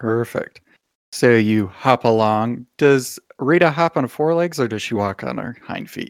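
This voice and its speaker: Fairly slow delivery with ordinary pitch variation in a dry, close recording without echo. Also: man, medium pitch for a man. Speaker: game master and podcast host. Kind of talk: casual chat, tabletop roleplaying game session. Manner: animated, playful.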